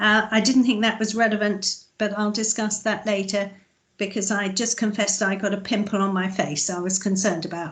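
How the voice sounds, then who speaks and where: Somewhat breathy speech moves at a fairly quick pace with monotone, flat intonation. The background stays quiet. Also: woman, medium pitch for a woman. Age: 60s. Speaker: councillor. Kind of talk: committee meeting. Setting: video call.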